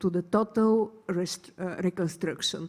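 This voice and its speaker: A woman with a Bulgarian accent speaks fairly slowly in a dark, mellow tone. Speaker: hydrogen researcher, panelist. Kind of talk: panel discussion.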